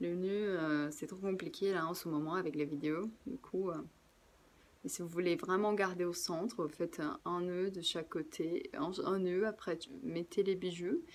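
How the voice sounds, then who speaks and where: At a medium pitch with ordinary variation, a woman talks fairly slowly. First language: Portuguese (speaking French). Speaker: craft workshop presenter. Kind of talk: tutorial. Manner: casual, relaxed.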